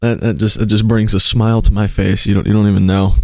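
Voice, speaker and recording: Audible room echo surrounds a man as he talks. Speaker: streamer. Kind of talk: casual live stream chat. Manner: loud.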